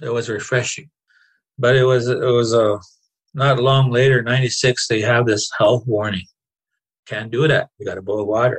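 A somewhat breathy man with a medium pitch speaks at a moderate pace, his intonation fairly even and his pauses long and frequent. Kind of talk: interview conversation.

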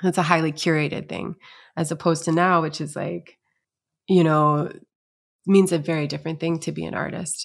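A woman speaks at a fairly quick pace in a fairly low, monotone, flat voice with vocal fry and long, frequent pauses, on a very clean recording with a silent background. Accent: American. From Syracuse, New York. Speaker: singer-songwriter and sound healer. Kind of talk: casual interview conversation.

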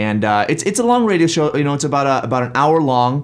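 A man's voice over noticeable background noise. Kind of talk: casual chat. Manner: animated; repeats words often.

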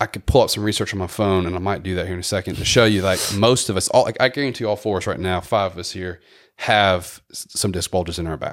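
A man's very deep, low voice at a very fast pace, fairly even in intonation, on a very clean recording with a silent background. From Memphis, Tennessee, US South. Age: 40s. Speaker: physical therapist. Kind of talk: casual chat.

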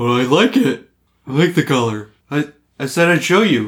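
A put-on character voice at a moderate pace. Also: man, fairly high pitch for a man. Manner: playful, acted.

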